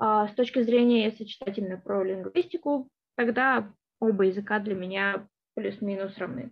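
At a moderate pace, a woman speaks with medium pitch and ordinary pitch variation. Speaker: linguistics graduate student. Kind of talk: interview. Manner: hesitant, with fillers.

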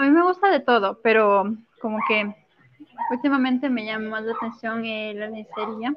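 In a normal speaking voice, a woman talks at a fairly high pitch with ordinary pitch variation. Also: moderate pace. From Ecuador, coastal Manabí province. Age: 20s. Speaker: model. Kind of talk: interview. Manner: soft-spoken.

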